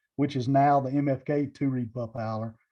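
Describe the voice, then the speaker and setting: A man speaks with a Southern US accent. His intonation stays fairly even. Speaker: game call maker. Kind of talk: interview.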